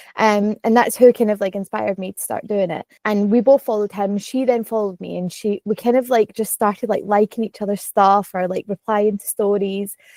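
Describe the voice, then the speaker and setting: Speaking at a fairly quick pace, a woman with a Glaswegian accent has a dark, mellow tone and monotone, flat intonation, in a dry, close sound with no echo. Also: medium pitch for a woman, hardly any pauses. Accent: Glaswegian Scottish. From Scotland, Glasgow. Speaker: content creator, vlogger. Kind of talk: casual podcast chat. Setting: podcast recording.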